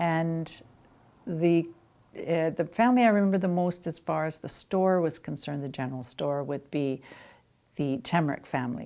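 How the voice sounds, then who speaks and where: A woman with a Canadian accent and a plain, everyday voice, fairly low in pitch, with ordinary pitch variation at a moderate pace. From western Canada (Arrowhead, British Columbia). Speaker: interviewee recalling local history. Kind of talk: oral history interview.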